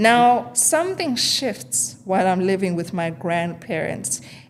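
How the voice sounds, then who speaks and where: A woman talks at a fairly slow pace with a fairly low pitch. Noticeable background noise can be heard. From South Africa, Eastern Cape (Transkei). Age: 30s. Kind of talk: interview.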